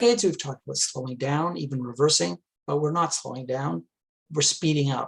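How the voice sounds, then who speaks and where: At a fairly quick pace, a man speaks in a fairly high, somewhat breathy voice with very wide pitch swings. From Quebec, Montreal. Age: 60s. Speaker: climate activist, retired engineer. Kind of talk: talk to a club.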